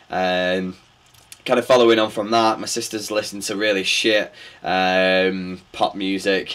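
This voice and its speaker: A man's fairly low, monotone voice with flat intonation at a fairly slow pace. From northern England, Bury, Greater Manchester; northern England. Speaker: DJ and music producer; DJ. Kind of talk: interview answers. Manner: hesitant, many fillers and repetitions. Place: studio.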